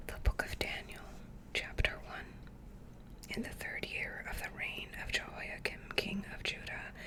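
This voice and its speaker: A woman whispering at a fairly slow pace amid noticeable background noise. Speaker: ASMR creator. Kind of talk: whispered scripture reading. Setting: studio, close microphone. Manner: whispered, soft, slow.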